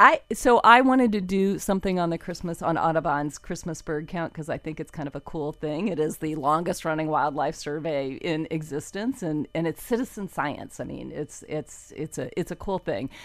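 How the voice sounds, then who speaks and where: A woman with an American accent, in an unremarkable speaking voice, speaks at a moderate pace with hardly any pauses, lively intonation and a fairly low pitch, on a very clean recording with a silent background. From South Florida, US. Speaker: environmental reporter. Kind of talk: casual interview.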